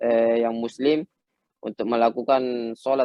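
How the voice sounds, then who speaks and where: A man speaks with a Makassar accent at a medium pitch. His intonation is monotone and flat. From Makassar, South Sulawesi, Indonesia. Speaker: professional footballer. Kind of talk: talk show interview. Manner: halting, many fillers.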